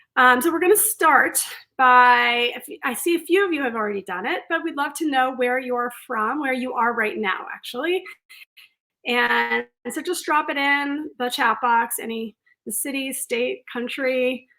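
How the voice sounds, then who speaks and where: Lively intonation from a woman, her voice raised and projected and high in pitch. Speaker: career coach. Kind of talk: webinar presentation. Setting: online webinar.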